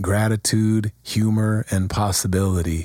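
The man's pitch is fairly low. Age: 50s. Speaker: podcast host and writer with chronic illness. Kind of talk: scripted narration of a personal essay.

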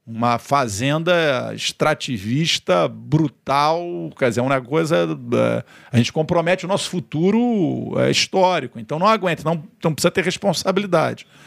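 His intonation moves in a lively way. This man's pitch is fairly high. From Rio de Janeiro, Brazil. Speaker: politician and government communications secretary. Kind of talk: interview. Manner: halting, repeats words.

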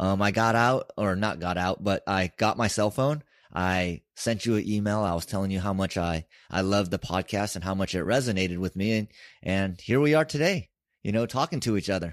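An ordinary speaking voice from a man with an American accent, fairly low pitch, ordinary pitch variation, a fairly quick pace, and a dry, close sound with no echo. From US West Coast (San Francisco). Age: 40s. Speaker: podcast host. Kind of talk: casual conversation.

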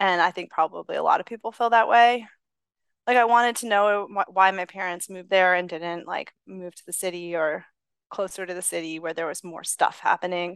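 An unremarkable speaking voice with an American accent moves at a fairly quick pace with fairly even intonation and big swings in loudness. The sound is dry and close with no echo, over a quiet background. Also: woman, medium pitch for a woman. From Massachusetts (Lexington). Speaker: economics professor. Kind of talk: interview.

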